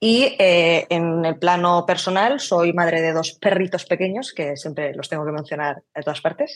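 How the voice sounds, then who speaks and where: A woman with an unremarkable speaking voice talks at a fairly slow pace with hardly any pauses. Her pitch is fairly low and her intonation lively. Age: 30s. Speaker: brand designer. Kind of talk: casual interview.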